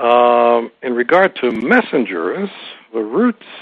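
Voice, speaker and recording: A man speaks in an American accent. His pitch sits at a medium level. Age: 60s. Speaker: author and former diplomat. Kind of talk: interview. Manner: hesitant with many fillers.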